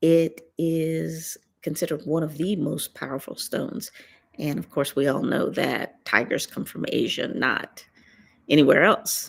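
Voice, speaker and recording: The speaker has vocal fry and lively intonation at a fairly slow pace. The recording is very clean, with a silent background. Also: woman. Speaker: gem and mineral class teacher. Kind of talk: lecture. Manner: casual, conversational.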